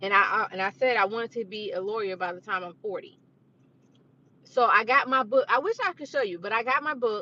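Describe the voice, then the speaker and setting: This woman's voice is fairly high, bright and sharp, with an animated tone. Her intonation is lively and her pace fairly quick. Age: 30s. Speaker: vlogger. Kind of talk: casual chat. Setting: live stream.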